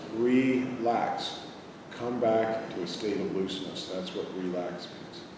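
Amid noticeable background noise, a man talks at a very slow pace in a medium pitch with ordinary pitch variation. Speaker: massage therapy teacher. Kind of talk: guided meditation. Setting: live in-person class or workshop. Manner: gentle, instructive.

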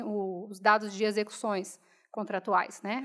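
Against a quiet background, the speaking pace stays moderate. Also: woman. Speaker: speaker. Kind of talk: panel Q&A. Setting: auditorium with audience. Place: hall. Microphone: podium.

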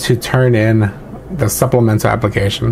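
Light background noise sits behind a man speaking with a Californian accent. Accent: Californian American English. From Los Angeles, San Fernando Valley. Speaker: army veteran and nursing student. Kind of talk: video essay monologue. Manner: casual, with filler words. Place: home room. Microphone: webcam.

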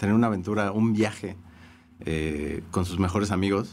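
A man speaks at a fairly quick pace in an ordinary speaking voice. His pitch variation is ordinary. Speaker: music writer. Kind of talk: casual chat.

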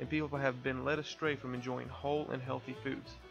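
A man delivers his words very fast. Behind him, music is playing. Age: 20s. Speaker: farmer; war veteran. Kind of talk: crowdfunding pitch narration.

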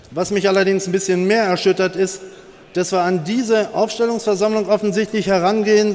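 A man at a moderate pace, high in pitch, with fairly even intonation. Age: 60s. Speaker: political candidate; candidate. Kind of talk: campaign speech. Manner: forceful. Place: hall. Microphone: podium.

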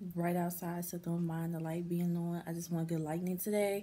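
Light background noise runs under a woman speaking at a fairly low pitch in a dark, mellow tone. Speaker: vlogger. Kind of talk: casual vlog chat. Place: home room. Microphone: phone near.

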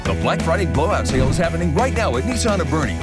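A man speaks at a very fast pace with an American accent. Loud music plays behind his dry voice, which has no echo. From United States. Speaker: voice actor. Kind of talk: TV commercial read. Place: studio.

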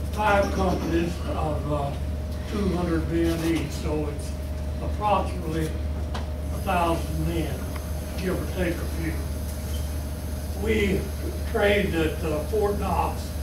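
Amid loud background noise and audible room echo, a man speaks very slowly with long, frequent pauses. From Kentucky, USA. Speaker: war veteran. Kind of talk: interview answer. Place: meeting room. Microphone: camera far.

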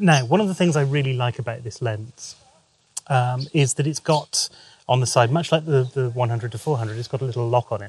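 A somewhat breathy man at a moderate pace, dry sound with no echo, and light background noise. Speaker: photographer vlogger. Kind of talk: casual vlog chat. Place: street. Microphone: phone near.

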